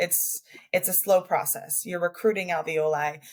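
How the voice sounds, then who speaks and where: The voice is somewhat breathy, with fairly even intonation and a Canadian accent. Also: woman. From Canada. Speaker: respiratory therapist. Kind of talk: podcast interview. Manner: repetitive, stammering on words.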